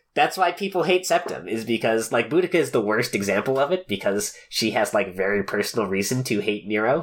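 In a very clean recording with a silent background, a man talks with hardly any pauses and very wide pitch swings. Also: medium pitch for a man, fairly quick pace. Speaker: podcast host. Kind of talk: casual chat.

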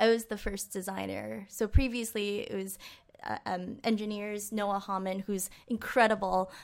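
A woman talks at a moderate pace in a medium pitch. She has a normal speaking voice. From Western Massachusetts, US. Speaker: UX designer. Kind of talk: casual interview.

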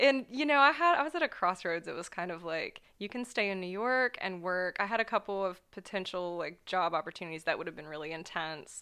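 This woman speaks with an American accent at a medium pitch. Her tone is bright and sharp, and her intonation is lively. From US Midwest, Ohio. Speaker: visual artist, painter. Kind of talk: interview conversation.

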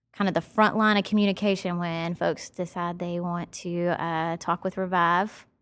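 A woman with a slight Southern US accent at a moderate pace, on a very clean recording with a silent background. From Nashville, Tennessee; US South. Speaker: marketing professional. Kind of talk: casual conversational interview. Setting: studio podcast. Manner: upbeat, enthusiastic.

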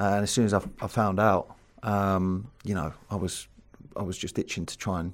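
On a very clean recording with a silent background, a man with a southern English accent speaks at a fairly low pitch in a monotone, flat intonation. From southern England. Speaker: former footballer and coach. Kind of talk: interview. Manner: casual.

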